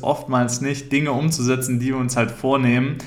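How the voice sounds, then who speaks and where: Audible room echo surrounds a man whose pitch is fairly high. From Thuringia, Germany (rural village). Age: 30s. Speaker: podcaster. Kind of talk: solo podcast monologue.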